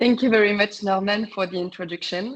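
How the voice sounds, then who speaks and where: Speaking with a strong French accent, a woman keeps a medium pitch and a fairly even intonation. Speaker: travel industry sales representative. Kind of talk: webinar presentation. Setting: online webinar. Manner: halting, many fillers.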